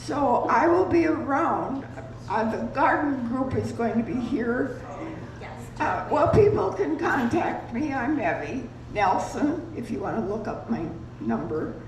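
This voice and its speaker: A woman with a high pitch talks at a fairly slow pace, her pitch swinging very widely. Noticeable background noise and audible room echo fill the recording. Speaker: retirement community resident. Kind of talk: community announcement. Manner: halting. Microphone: too quiet.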